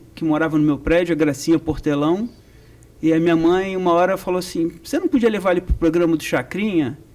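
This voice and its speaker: Speaking with a Rio de Janeiro accent, a man has a high pitch. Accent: carioca. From Rio de Janeiro, Brazil. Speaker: percussion professor. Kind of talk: interview.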